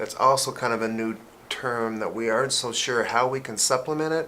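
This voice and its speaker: A man speaks at a fairly quick pace and a medium pitch, with noticeable background noise. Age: 50s. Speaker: pharmacist. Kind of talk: casual chat.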